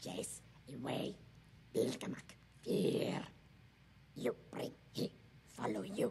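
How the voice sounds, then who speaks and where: A man growls in a put-on character voice at a fairly high pitch and a fairly slow pace. He leaves long, frequent pauses, and background noise is clear. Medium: game stream. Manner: terse, broken fragments of speech.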